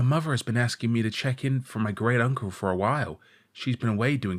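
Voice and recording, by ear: The pitch moves in an ordinary way. This is reading aloud in a natural voice.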